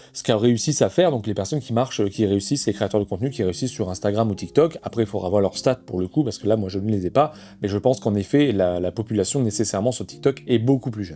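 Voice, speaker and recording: The voice has a dark, mellow tone and moves at a very fast pace with hardly any pauses and ordinary pitch variation. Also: man, fairly low pitch for a man. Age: 30s. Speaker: board game content creator. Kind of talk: personal monologue to camera. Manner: halting, many fillers.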